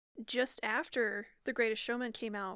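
A woman with a normal speaking voice and a fairly high pitch talks at a moderate pace, her intonation fairly even. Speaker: podcast co-host. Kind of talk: casual chat.

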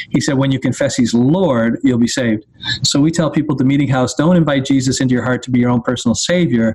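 A man with a Canadian accent talks at a very fast pace, his loudness very even and his intonation fairly even. Noticeable background noise sits behind him. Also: medium pitch for a man. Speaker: teaching pastor. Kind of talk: interview, explaining theology.

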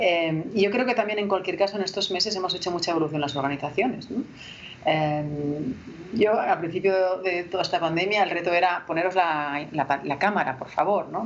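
A woman's fairly low-pitched voice at a fairly quick pace, with ordinary pitch variation and noticeable background noise. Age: 40s. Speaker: HR director and author. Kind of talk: interview.

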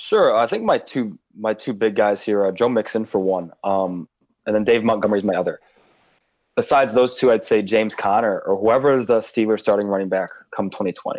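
A man with an American accent and a normal speaking voice, fairly low in pitch, at a fairly quick pace with fairly even intonation, on a very clean recording with a silent background. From Chicago area, US Midwest. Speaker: fantasy football analyst. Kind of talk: casual chat.

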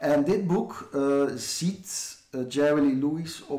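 Recorded with audible room echo, a man speaks with a dark, mellow tone, a fairly high pitch and fairly even intonation. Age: 40s. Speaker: author and book critic. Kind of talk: casual interview. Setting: garden shed.

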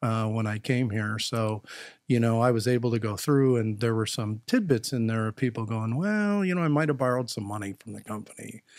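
At a fairly quick pace, a man with an American accent speaks at medium pitch with ordinary pitch variation, a plain, everyday voice. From Wisconsin, US Midwest. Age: 60s. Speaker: HR executive. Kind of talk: casual interview.

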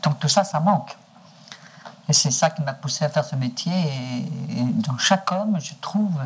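A woman with a very deep, low pitch speaks at a fairly slow pace with lively intonation and long, frequent pauses. Noticeable background noise sits behind her. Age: 60s. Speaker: sex worker. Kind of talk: archival interview recording.

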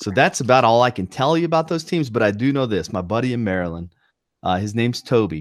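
Very wide pitch swings from a man at medium pitch with a slight Southern US accent, very fast, in a very clean recording with a silent background. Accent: slight Southern twang. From North Carolina. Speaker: podcast co-host. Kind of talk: casual chat.

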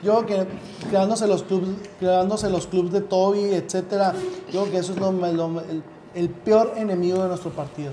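In a room with audible echo and noticeable background noise, a high-pitched man speaks at a moderate pace in a monotone, flat delivery. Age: 30s. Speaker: youth political party leader. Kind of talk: interview. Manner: halting, many repetitions.

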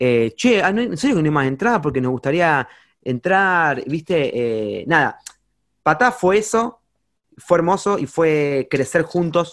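A man's voice shows very wide pitch swings on a very clean recording with a silent background. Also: fairly high pitch for a man, fairly slow pace. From Argentina, Campana (Buenos Aires province). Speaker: singer-songwriter and music teacher. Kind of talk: casual interview chat. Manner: halting, many fillers and repetitions.

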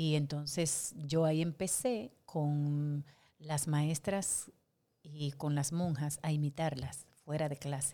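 A woman with a very deep, low pitch and a dark, mellow tone speaks at a very slow pace. Her intonation is fairly even, and the recording is very clean with a silent background. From Dominican Republic, Santo Domingo. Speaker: actress and impersonator. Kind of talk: casual interview.

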